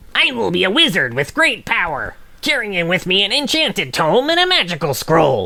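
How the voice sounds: A put-on character voice at middle pitch moves at a moderate pace.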